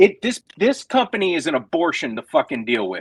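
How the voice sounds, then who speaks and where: In a dry, close recording with no echo, a man talks at a moderate pace with a fairly high pitch and vocal fry. His tone is animated, with very wide pitch swings. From Rhode Island. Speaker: comedian. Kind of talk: casual chat.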